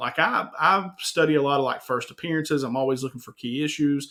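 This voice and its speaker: The voice carries an Eastern Kentucky accent and a bright, sharp tone. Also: man. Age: 40s. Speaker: YouTube host, comic collector. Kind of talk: casual interview. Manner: animated.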